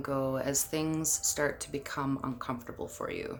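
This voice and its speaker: A woman speaks at a very slow pace with music in the background and audible room echo. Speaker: labor and delivery nurse, childbirth educator. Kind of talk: guided exercise instruction. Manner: conversational, with fillers; loud.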